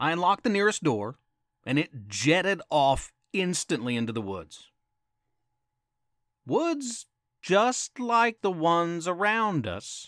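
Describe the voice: Putting on a character voice, a man speaks slowly at a fairly high pitch, with big pitch swings and a fairly bright tone. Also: very clean recording, silent background.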